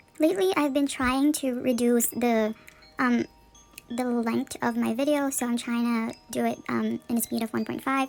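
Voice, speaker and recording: Music plays behind a woman speaking at a moderate pace. Her pitch is high, with ordinary variation. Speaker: K-pop collector vlogger. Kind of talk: casual vlog talk. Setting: recording at home under a window. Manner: hesitant, many fillers.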